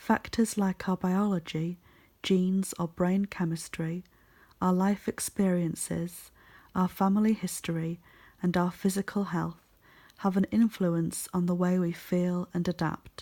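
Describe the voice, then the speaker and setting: The speaker whispers, soft-spoken, at a fairly slow pace. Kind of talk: ASMR reading. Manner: soft-spoken, whispering.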